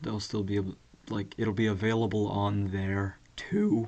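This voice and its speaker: A man talks at a moderate pace with a fairly low pitch. His tone is dark and mellow. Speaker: podcast host. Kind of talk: casual solo monologue. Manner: monotone; casual with many fillers.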